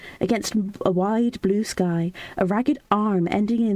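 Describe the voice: Ordinary pitch variation in plain reading aloud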